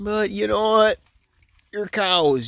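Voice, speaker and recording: The speaker has an Upper Midwest accent. The pace is fairly slow. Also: man. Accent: Upper Midwest (Wisconsin). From Wisconsin. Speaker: vlogger filming farm animals. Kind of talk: casual monologue to camera. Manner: rambling, halting.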